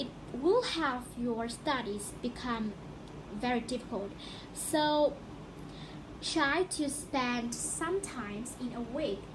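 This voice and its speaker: Someone with a non-native accent speaks at a very slow pace with long, frequent pauses and ordinary pitch variation over noticeable background noise. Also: woman, high pitch for a woman. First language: not English. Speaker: student podcaster. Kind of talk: casual educational podcast talk.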